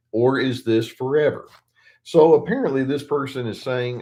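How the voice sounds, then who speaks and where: A man talks at a moderate pace and medium pitch. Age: 60s. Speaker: therapist. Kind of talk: live Q&A. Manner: halting.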